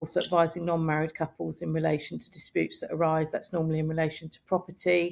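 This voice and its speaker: Speaking at a very fast pace with hardly any pauses, a woman with a southern English accent swings widely in loudness. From southeast England, Kent. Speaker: family lawyer. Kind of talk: podcast interview.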